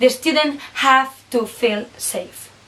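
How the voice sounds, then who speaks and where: Noticeable background noise runs through the clip. Over it, a woman talks in a high voice. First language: Basque or Spanish. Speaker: student teacher. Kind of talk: scripted reflection presentation.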